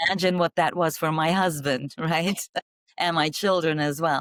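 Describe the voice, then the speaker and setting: A woman with a Flemish accent speaks at a moderate pace, her voice dry and close with no echo on a very clean recording against a silent background. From Belgium. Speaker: marketing executive. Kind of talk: interview. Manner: halting.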